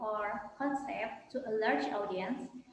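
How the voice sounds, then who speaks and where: In a room with audible echo and noticeable background noise, a woman speaks at a fairly high pitch with fairly even intonation. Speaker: student. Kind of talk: role-play job interview.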